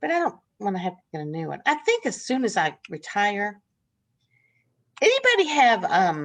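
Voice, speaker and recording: Speaking at a moderate pace with a Southern US accent, a woman at a medium pitch makes very wide pitch swings and big swings in loudness, with long, frequent pauses. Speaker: nursing instructor. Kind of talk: casual chat. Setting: video call. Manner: halting.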